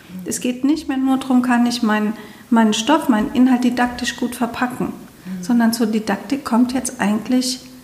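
Through noticeable background noise, a woman speaks at a high pitch and a moderate pace, with fairly even intonation. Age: 50s. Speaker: podcast host and coach. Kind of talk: casual chat. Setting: studio.

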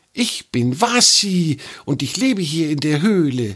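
A man puts on a character voice with a fairly high pitch and a hissing sound. He speaks at a fairly slow pace.

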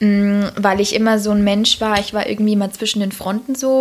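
At a moderate pace, a woman talks in a plain, everyday voice at a medium pitch. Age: 20s. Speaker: nurse on parental leave, social media creator. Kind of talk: casual chat. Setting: at host's home.

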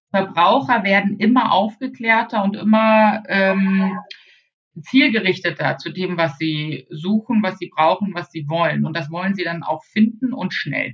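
A woman speaks at a medium pitch with ordinary pitch variation. She is somewhat breathy and fairly slow. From northern Germany, Baltic coast. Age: 40s. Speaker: e-commerce consultant. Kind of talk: interview.

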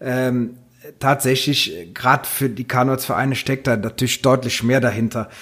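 A man speaks at a moderate pace in a normal speaking voice. His pitch sits in the middle range, and his intonation stays fairly even. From Rhineland, Hennef. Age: 40s. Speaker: carnival club vice-chairman. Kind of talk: casual chat.

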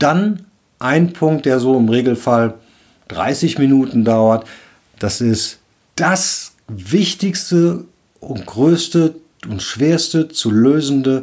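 With long, frequent pauses, a man speaks at a very slow pace. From Rhineland, Cologne. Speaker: leadership coach and podcast host. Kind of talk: solo podcast monologue, advice talk.

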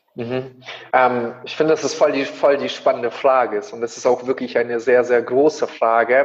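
Fairly even intonation against noticeable background noise. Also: man, medium pitch for a man, moderate pace. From Kazakhstan, moved to Germany as a child. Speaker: coach and speaker. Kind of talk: interview.

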